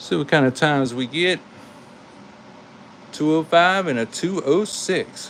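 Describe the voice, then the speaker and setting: A man with a Carolina accent speaks at a fairly slow pace in a fairly high pitch, his animated tone carrying ordinary pitch variation and long, frequent pauses. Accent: Carolina twang. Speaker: toy car collector and YouTuber. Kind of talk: live stream commentary. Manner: casual, animated.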